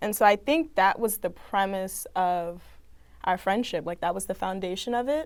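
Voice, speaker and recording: Over a very clean recording with a silent background, a woman with a plain, everyday voice speaks at a moderate pace and medium pitch with lively intonation. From Maryland, Prince George's County. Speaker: student journalist. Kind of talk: casual chat.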